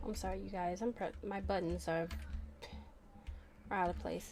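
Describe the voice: A woman speaks at a moderate pace with a fairly low pitch and fairly even intonation. Her tone is slightly mellow, and faint music plays in the background.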